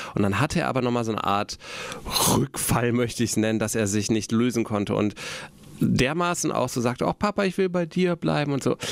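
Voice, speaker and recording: A man talks fairly quickly at a medium pitch. His pitch swings very widely while his loudness stays very even. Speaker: podcast host, father. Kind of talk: casual chat. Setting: radio station studio.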